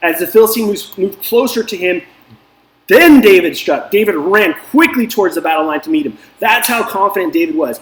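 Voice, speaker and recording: Animated in tone, a man talks at a fairly quick pace in a high pitch with very wide pitch swings. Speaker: DFS coach and video host. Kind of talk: casual motivational talk. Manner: fast.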